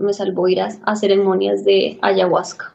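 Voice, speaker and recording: This is a woman speaking. Her pace is fairly slow. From Colombia, Bogotá. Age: 30s. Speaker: interview guest. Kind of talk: personal life story interview. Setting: video call.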